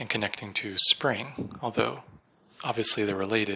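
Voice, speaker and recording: A soft-spoken man talks at a moderate pace. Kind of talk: solo reflective monologue. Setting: at home at night. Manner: hesitant, many fillers.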